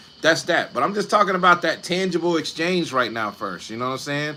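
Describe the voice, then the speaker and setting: A man talks with a high pitch and ordinary pitch variation. Noticeable background noise sits behind him. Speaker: online creator talking about film streaming income. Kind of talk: live stream talk. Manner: animated.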